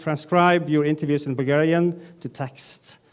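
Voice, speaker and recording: In a Norwegian accent, a man speaks at a fairly slow pace with a fairly high pitch and monotone, flat intonation. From Northern Norway. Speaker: data journalism editor, panelist. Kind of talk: conference panel presentation. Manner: halting, many fillers.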